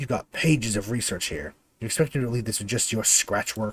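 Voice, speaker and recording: This put-on character voice growls with a menacing tone at a fairly quick pace. The sound is dry and close, without echo. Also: man, medium pitch for a man. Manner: snarling, menacing.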